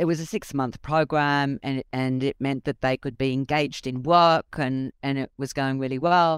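With an Australian accent, a woman speaks at a moderate pace with hardly any pauses, her very deep, low voice fairly even in intonation, captured dry and close with no echo on a very clean recording against a silent background. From Australia (came from Egypt at seven). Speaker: judge. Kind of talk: interview.

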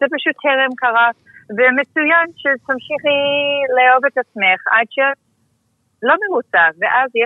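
This woman speaks with an American accent. Her pace is fairly slow. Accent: American accent in Hebrew. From Texas. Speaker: dermatologist. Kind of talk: interview.

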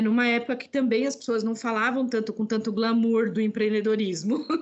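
A woman talks at a moderate pace in an ordinary speaking voice, pitched fairly high. Her intonation stays fairly even. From Brazil, Northeast (sertão de Alagoas). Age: 50s. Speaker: entrepreneur and women's business network founder. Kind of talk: interview conversation.

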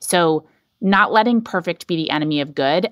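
A woman with an American accent talks at a moderate pace in a fairly low pitch, her intonation lively, in a normal speaking voice with a dry, close sound and no echo. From US South, North Carolina. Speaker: head of climate at a tech company. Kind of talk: interview.

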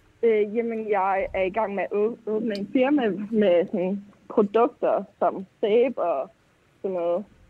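At a very slow pace, a woman talks in a fairly high voice with ordinary pitch variation. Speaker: caller. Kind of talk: call-in conversation. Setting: phone call.

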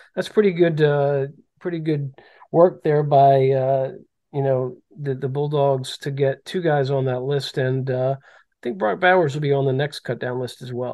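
A man with an American accent speaks in a normal speaking voice at a moderate pace, his fairly high pitch held to fairly even intonation while his loudness swings widely. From Maryland. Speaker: sports journalist podcast host. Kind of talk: casual sports chat.

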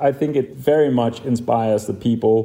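A man with a Danish accent speaks in a dark, mellow tone with ordinary pitch variation. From Denmark. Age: 40s. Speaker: designer and entrepreneur. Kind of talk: interview. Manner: hesitant, many fillers.

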